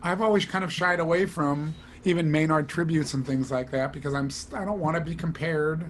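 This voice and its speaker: Through noticeable background noise, a man with a fairly high pitch speaks at a fairly quick pace with fairly even intonation. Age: 60s. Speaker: studio trumpet player. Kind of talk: casual interview chat.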